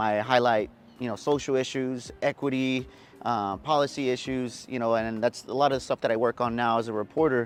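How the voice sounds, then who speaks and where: At a moderate pace and with fairly even intonation, this is an ordinary speaking voice with an American accent. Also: man. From San Antonio, Texas (West Side). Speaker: TV news reporter. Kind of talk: interview answer.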